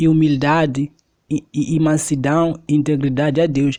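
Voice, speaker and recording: A man delivers his words at a moderate pace against a quiet background. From Mozambique. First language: Xangana (Tsonga) (speaking Portuguese). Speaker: preacher. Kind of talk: sermon.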